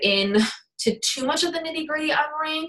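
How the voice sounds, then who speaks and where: This is a woman speaking. Her intonation is lively. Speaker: fitness business coach leading team training. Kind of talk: training call. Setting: online group call. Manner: fast.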